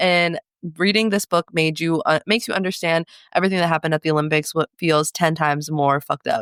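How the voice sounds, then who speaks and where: On a very clean recording with a silent background, a woman sounds animated as she talks at a fairly quick pace in a fairly low voice with ordinary pitch variation. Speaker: book podcast co-host. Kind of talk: casual chat. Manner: fast.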